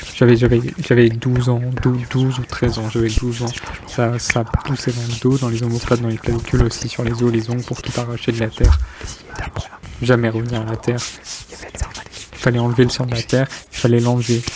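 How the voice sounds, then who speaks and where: Someone whispers at a moderate pace with long, frequent pauses and noticeable background noise. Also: man. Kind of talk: whispered poetry reading with body sounds. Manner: whispered.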